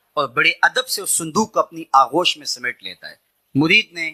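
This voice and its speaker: The speaker is a man. The sound is dry and close, without any echo. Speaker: Islamic preacher. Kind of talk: religious sermon (bayan).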